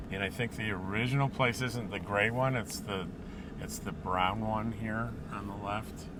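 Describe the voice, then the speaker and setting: Audible room echo surrounds a man's fairly low-pitched voice. He speaks at a moderate pace with fairly even intonation. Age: 60s. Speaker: travel vlogger. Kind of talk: casual vlog narration. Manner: halting, many fillers.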